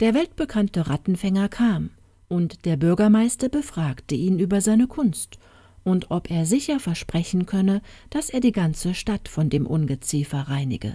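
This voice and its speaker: With a dark, mellow tone that is calm, soothing and somewhat breathy, a woman speaks at medium pitch with very wide pitch swings. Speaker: audiobook narrator. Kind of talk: fairy tale narration, reading aloud. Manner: storytelling, slow and calm, soothing.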